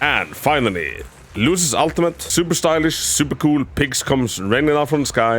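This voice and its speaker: Lively intonation marks this man's speech, delivered at a moderate pace with a non-native accent. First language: not English. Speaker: gaming video creator. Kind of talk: game guide tutorial with gameplay commentary. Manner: halting, repeats words.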